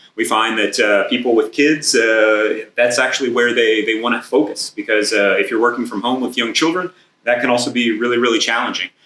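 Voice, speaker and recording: Here a man with an American accent talks at a fairly quick pace, with hardly any pauses. His pitch is medium and his intonation fairly even. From United States. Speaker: business manager presenting at industry event. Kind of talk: conference presentation. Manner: hesitant, many filler words.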